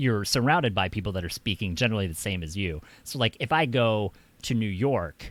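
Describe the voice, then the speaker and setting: With lively intonation, a plain, everyday voice goes along at a fairly quick pace. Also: man, fairly low pitch for a man. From United States. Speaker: streamer. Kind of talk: casual chat. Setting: video call.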